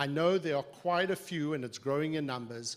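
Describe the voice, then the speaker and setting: On a very clean recording with a silent background, a man with an American accent and a fairly high pitch talks at a moderate pace with ordinary pitch variation. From South Africa. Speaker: psychiatric association executive and physician. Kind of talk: formal opening remarks at a briefing. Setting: live event with audience and webcast. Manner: formal.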